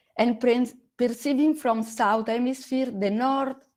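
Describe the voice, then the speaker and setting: Speaking very slowly, a woman talks with an Italian accent. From Italy. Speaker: astronomy educator. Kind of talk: online conference presentation. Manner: halting.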